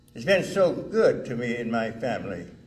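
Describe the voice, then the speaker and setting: In a room with audible echo, a man speaks at a fairly slow pace with lively intonation. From US South (Alabama/Mississippi). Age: 80s+. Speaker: retired firefighter and honoree. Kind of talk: award acceptance speech. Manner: halting.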